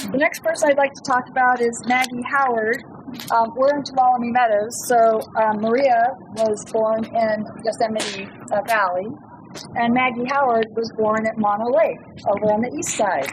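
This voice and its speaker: A woman with a fairly high pitch and fairly even intonation, over noticeable background noise. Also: moderate pace. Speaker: author and trail speaker. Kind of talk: campfire talk. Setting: outdoors, campfire with audience.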